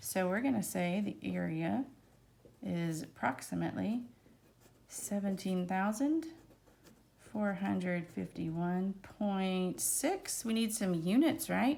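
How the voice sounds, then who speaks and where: With audible room echo, a woman with an American accent speaks at a very slow pace with long, frequent pauses. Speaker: math teacher. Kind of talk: lecture. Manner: casual, chatty.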